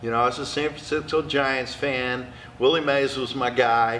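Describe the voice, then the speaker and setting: Over noticeable background noise, a man in an American accent keeps a moderate pace. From Oklahoma (Perry). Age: 60s. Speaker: retired college baseball coach. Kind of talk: interview conversation. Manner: animated.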